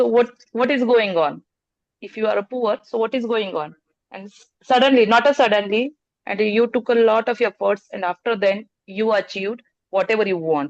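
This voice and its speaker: A woman with a Marathi accent speaks at a moderate pace and fairly high pitch. Her pitch varies in an ordinary way, while her loudness swings widely. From Maharashtra, India. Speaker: participant. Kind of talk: group discussion talk. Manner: halting.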